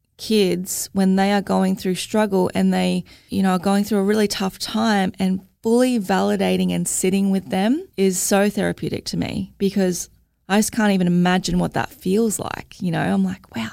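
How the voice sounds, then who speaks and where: A woman with an Australian accent speaks at a moderate pace in a very clean recording with a silent background. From Australia, Logan (Queensland). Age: 30s. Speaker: mental health advocate, mother. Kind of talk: interview, personal testimony.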